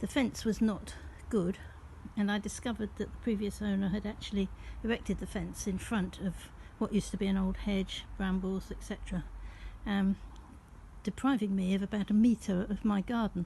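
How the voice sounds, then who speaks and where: A woman speaks in a somewhat breathy, flat monotone. She leaves long, frequent pauses. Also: medium pitch for a woman, moderate pace. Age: 80s+. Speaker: retired gardener and vlogger. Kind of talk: casual talk to camera.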